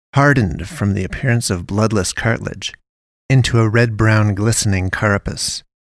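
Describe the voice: A quiet background behind plain reading aloud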